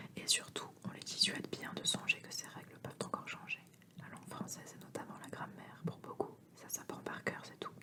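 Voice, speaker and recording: A whisper at a moderate pace. Background noise is noticeable. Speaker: ASMR reader. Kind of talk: whispered book reading (ASMR). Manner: whispered.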